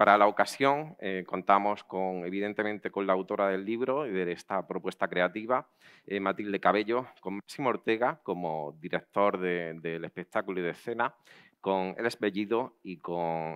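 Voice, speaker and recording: A man speaks at a fairly slow pace in a very deep, low voice, with ordinary pitch variation. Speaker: event host. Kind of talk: welcome speech at a live event. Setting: outdoor patio with audience. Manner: halting, with hesitations and repeated words.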